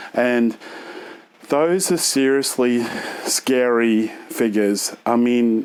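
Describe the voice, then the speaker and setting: A man's medium-pitched voice at a very slow pace, with long, frequent pauses, ordinary pitch variation and noticeable background noise. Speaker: health vlogger. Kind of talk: casual vlog. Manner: halting.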